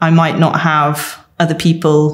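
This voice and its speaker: A woman's very slow, fairly low voice in a Welsh accent. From rural mid Wales. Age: 30s. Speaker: mature student. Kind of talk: documentary interview.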